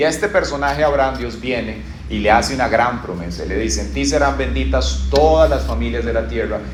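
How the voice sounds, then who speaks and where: A man with a Costa Rican accent, fairly quick and with hardly any pauses, over noticeable background noise and audible room echo. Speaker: pastor. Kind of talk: sermon.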